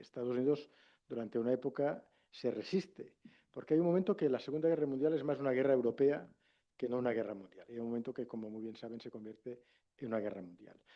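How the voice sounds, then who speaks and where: A man speaks with a Catalan accent. He goes at a very fast pace with big swings in loudness. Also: medium pitch for a man, ordinary pitch variation. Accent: Catalan-accented Castilian Spanish. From Catalonia, Spain. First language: Catalan (speaking Spanish). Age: 50s. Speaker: former politician and international relations professor. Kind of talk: lecture.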